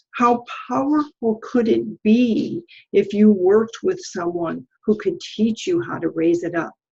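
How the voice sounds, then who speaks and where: Fairly slowly and somewhat breathily, a woman speaks in a fairly high pitch with very wide pitch swings. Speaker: podcast host. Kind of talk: podcast interview host.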